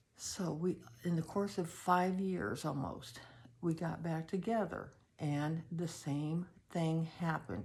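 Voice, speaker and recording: A woman's fairly low, somewhat breathy voice moves at a very slow pace. Her pitch varies in an ordinary way. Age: 70s. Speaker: personal storyteller. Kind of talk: personal testimony. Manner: halting, with many fillers.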